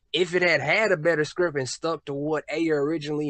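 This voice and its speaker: Fairly quick delivery from an unremarkable speaking voice. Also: man. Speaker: YouTube film commentator. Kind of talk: casual podcast discussion.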